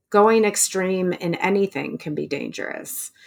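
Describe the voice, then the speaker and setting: At a fairly slow pace, a woman of medium pitch talks with lively intonation in an unremarkable speaking voice. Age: 40s. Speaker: writer, runner and recovery coach. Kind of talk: interview storytelling.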